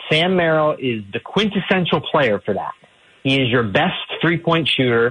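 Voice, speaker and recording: A man with a plain, everyday voice and an American accent talks at a moderate pace with lively intonation. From Ohio (Tallmadge). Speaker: sports journalist. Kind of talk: radio sports interview.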